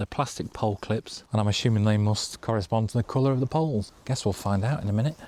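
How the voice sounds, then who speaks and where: A man with an English accent, fairly low-pitched, talking very fast with hardly any pauses at very even loudness, on a very clean recording with a silent background and a dry, close sound with no echo. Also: ordinary pitch variation. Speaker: outdoor vlogger. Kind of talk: casual vlog narration. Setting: outdoors. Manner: quiet.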